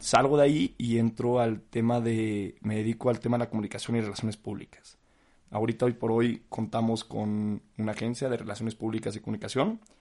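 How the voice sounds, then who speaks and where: At a moderate pace, a man talks at a medium pitch with monotone, flat intonation. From Mexico, San Luis Potosí and Mexico City. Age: 20s. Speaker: podcast host, business student. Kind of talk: solo podcast monologue. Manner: casual, many fillers.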